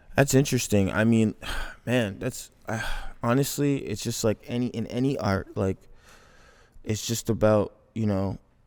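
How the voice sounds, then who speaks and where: Someone with a Toronto accent speaks at a moderate pace with fairly even intonation and long, frequent pauses, in a very clean recording with a silent background. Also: man, medium pitch for a man. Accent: Canadian English (Toronto). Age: 20s. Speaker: filmmaker. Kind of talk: casual chat.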